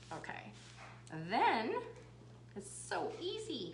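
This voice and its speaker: A woman is speaking. Noticeable background noise and audible room echo surround her voice. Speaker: craft video host. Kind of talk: livestream craft tutorial. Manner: casual, chatty.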